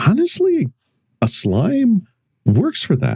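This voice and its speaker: Somewhat breathy, dark and mellow in tone, with a dry, close sound and no echo. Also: man. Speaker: vtuber streamer. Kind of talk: casual chat.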